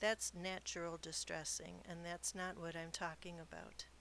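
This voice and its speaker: At a moderate pace, a woman speaks in a normal speaking voice of medium pitch. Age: 60s. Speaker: podcast host and novelist. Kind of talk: podcast monologue.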